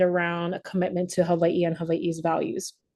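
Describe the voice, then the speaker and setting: Against a quiet background, a woman talks at a fairly quick pace in a dark, mellow tone. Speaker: leadership program facilitator. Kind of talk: virtual presentation. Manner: halting, many fillers; fast.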